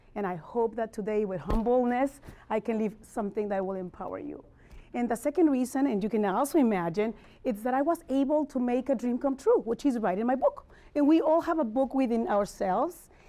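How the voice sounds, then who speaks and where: A woman with a strong Spanish accent, a high pitch, a dark, mellow tone, and a fairly quick pace. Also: lively intonation. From Mexico City. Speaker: motivational speaker and life coach. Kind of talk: motivational talk.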